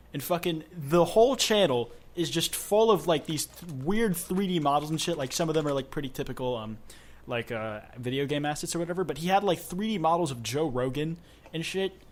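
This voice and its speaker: Using a normal speaking voice, a man talks at a fairly quick pace with lively intonation and a fairly high pitch. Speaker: podcast host. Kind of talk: casual chat.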